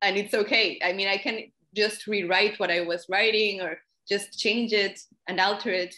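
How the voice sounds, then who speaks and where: With a Spanish accent, a woman speaks at a moderate pace in a medium pitch, her tone bright and sharp and her intonation monotone and flat. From Mexico. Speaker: poet and translator. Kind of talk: interview conversation.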